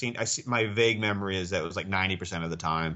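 Pitched fairly low, a man talks with ordinary variation in his pitch. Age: 40s. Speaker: psychology professor and researcher. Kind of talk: casual interview. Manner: hesitant, many fillers and repeats.

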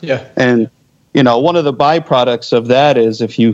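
Here is a man with an unremarkable speaking voice and an American accent. He keeps a medium pitch, a moderate pace and fairly even intonation. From US Northeast, Philadelphia area. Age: 40s. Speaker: military veteran. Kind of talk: casual chat.

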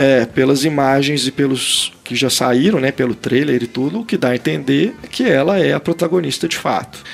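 A man's voice at a moderate pace with hardly any pauses and ordinary pitch variation, over noticeable background noise. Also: fairly high pitch for a man. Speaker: film critic podcast host. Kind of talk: casual chat. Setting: video call.

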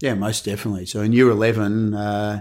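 A man with an Australian accent and a fairly low pitch speaks at a moderate pace on a very clean recording with a silent background. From Melbourne, Australia. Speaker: orthopedic surgeon. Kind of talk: interview.

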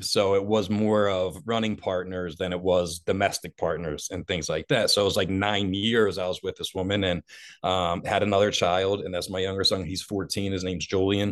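A man with a very deep, low pitch and a Philadelphia accent, monotone and flat in intonation, at a moderate pace with hardly any pauses. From Delaware County, Philadelphia area, US. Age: 40s. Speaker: motivational speaker in addiction recovery. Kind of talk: personal testimony in interview.

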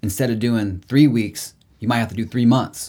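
A dark, mellow tone comes with an American accent at a moderate pace. The recording is very clean, with a silent background. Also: man. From Indiana, Indianapolis. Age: 30s. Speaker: musician. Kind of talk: casual chat. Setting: studio.

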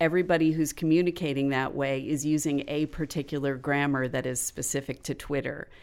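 In an American accent, a woman speaks with very deep, low pitch and monotone, flat intonation on a very clean recording with a silent background. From Florida. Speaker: podcast writer and educator. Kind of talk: casual interview chat.

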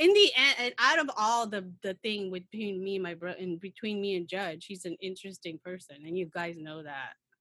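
A woman with an American accent speaks at a medium pitch and moderate pace, her bright, sharp tone showing ordinary pitch variation and big swings in loudness. She leaves hardly any pauses, and the sound is dry and close with no echo. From Philippines. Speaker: podcast guest. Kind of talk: casual chat.

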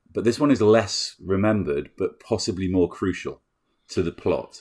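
A man keeps a moderate pace in a very clean recording where the background is silent. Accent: British. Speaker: film podcast host. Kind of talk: casual chat.

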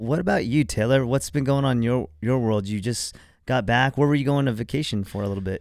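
Over a very clean recording with a silent background, a man uses a normal speaking voice at medium pitch, fairly quick pace and ordinary pitch variation. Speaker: podcast co-host. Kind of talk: casual chat. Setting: studio.

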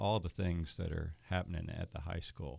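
Heard in a very clean recording with a silent background, a man speaks with a Southern US accent. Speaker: school superintendent hosting. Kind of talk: interview conversation, casual. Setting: studio.

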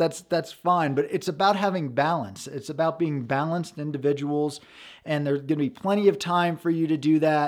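A man with a normal speaking voice speaks at a fairly quick pace, with a fairly high pitch and ordinary pitch variation. The recording is very clean, with a silent background. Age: 40s. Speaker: podcast host and dating coach. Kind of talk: solo podcast monologue. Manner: casual, conversational.

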